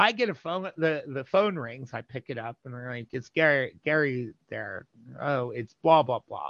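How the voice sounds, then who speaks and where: A man's fairly high voice at a moderate pace, lively intonation, an unremarkable speaking voice. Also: big swings in loudness. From New Jersey. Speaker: interview guest sharing community history. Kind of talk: casual interview.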